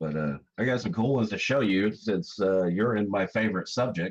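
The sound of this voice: A man speaks at a fairly quick pace in a hoarse, put-on character voice. His pitch sits fairly low, and his intonation is lively.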